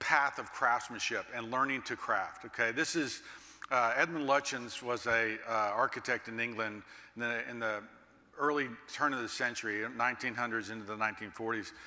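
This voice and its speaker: An American accent colors a man's unremarkable speaking voice, medium in pitch, fairly even in intonation and moderate in pace. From Texas, Dallas. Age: 60s. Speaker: master builder and keynote speaker. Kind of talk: keynote speech.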